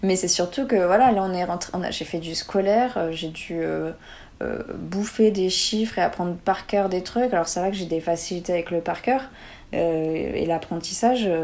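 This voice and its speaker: A woman talks at a fairly slow pace in an ordinary speaking voice, medium in pitch with ordinary pitch variation. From southern France, near Montpellier. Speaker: former performing artist, nutrition student. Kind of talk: casual interview.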